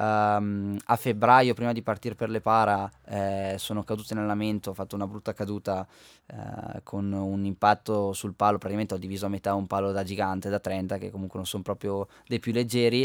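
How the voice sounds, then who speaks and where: A man's fairly low voice at a fairly quick pace, monotone and flat, in a dry, close, echo-free recording that is very clean with a silent background. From Val di Fiemme, Trentino, northern Italy. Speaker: Paralympic alpine skier. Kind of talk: radio interview. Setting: radio studio.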